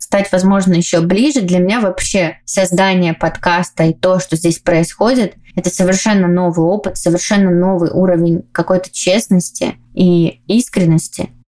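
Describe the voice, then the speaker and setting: With very even loudness, a woman speaks in a dark, mellow tone at a moderate pace. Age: 20s. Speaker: podcast co-host, marketer. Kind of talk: casual chat.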